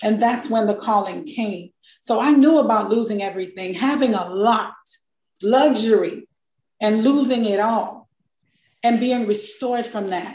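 A woman speaks in a somewhat breathy, animated voice with a fairly high pitch and ordinary pitch variation, in an American accent. She takes long, frequent pauses. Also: moderate pace. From South Florida, Miami (born St. Croix). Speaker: accountant and author. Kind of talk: testimony.

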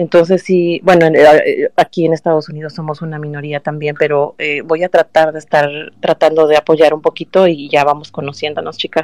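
A woman's very deep, low voice, monotone and flat, at a fairly quick pace with a dry, close sound and no echo. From Mexico, Guerrero coast (Acapulco). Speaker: listener participant. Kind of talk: casual chat. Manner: clips word endings.

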